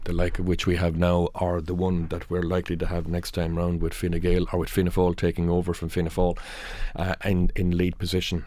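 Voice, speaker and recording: With a rural Irish accent, a man talks at a fairly quick pace in a very deep, low pitch, his dark, mellow tone held in monotone, flat intonation. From rural Ireland. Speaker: newspaper news editor. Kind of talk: newspaper review panel discussion. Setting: radio studio. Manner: halting.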